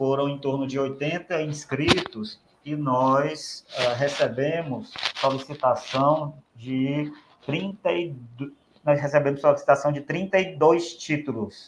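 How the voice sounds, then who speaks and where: Speaking very slowly in a Ceará accent, a man uses ordinary pitch variation. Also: fairly high pitch for a man. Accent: Ceará accent, open prolonged vowels. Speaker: speech therapist, professional council official. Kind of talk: podcast interview.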